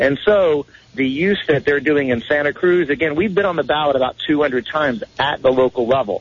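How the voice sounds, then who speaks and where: A man with an ordinary speaking voice talks at a moderate pace, his pitch fairly high with ordinary variation and his loudness very even. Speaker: national spokesperson and activist. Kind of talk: radio interview. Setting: phone call.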